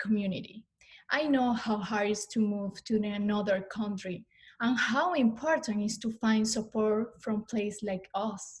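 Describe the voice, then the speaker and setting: With a Spanish accent, a woman speaks at a moderate pace in a somewhat breathy, fairly high voice with fairly even intonation. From Venezuela. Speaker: student services staff, former student. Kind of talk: prepared testimony.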